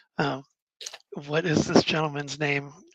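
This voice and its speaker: A bright, sharp voice with vocal fry and fairly even intonation, with an American accent, dry and close with no echo. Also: man. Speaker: tabletop card game player and channel host. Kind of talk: casual chat.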